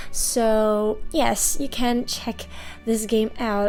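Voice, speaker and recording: A woman talks with ordinary pitch variation at a fairly high pitch while music plays in the background. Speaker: toy unboxing channel host. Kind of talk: casual unboxing talk to camera.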